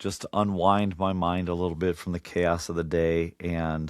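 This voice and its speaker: Over a silent background in a very clean recording, a man speaks at a fairly slow pace in a very deep, low, monotone, flat voice. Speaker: podcast host and radio host. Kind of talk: casual monologue while building. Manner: halting, many fillers.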